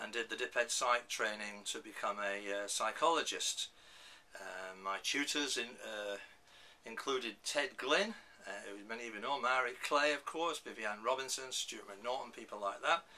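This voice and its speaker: A man with a northern English accent at medium pitch and a moderate pace, with ordinary pitch variation. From northern England. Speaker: professor. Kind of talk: lecture. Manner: halting.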